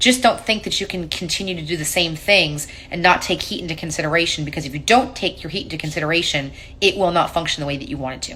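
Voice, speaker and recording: A woman with a fairly low pitch talks at a very fast pace, her intonation lively and her loudness swinging widely, over noticeable background noise. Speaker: paint company tech presenter. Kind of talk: live stream tech Q&A. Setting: live stream. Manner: casual.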